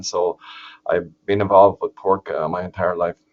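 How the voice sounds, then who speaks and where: In an Irish accent, the voice comes through dry and close with no echo against a quiet background. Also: man. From Ireland, southeast. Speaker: agricultural economist, professor. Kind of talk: webinar presentation. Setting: online webinar. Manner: hesitant, many fillers and restarts.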